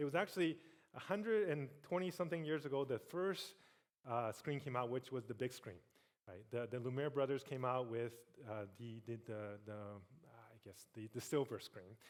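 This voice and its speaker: A man speaks at a medium pitch, his intonation lively and his loudness swinging widely. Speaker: tech industry executive, keynote speaker. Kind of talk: keynote speech. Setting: stage with audience. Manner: fast.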